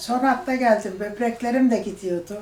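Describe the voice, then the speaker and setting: A woman speaks at a fairly slow pace with a fairly high pitch. Noticeable background noise is present. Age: 70s. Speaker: diabetes surgery patient. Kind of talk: patient testimonial.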